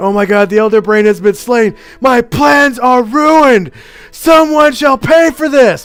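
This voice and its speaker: A man shouts in a put-on character voice at an extremely high pitch, with lively intonation and a moderate pace. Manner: screaming in frothing rage.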